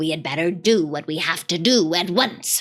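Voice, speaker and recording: Using a put-on character voice, a woman speaks at a fairly low pitch and a moderate pace. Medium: read story. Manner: low, grim.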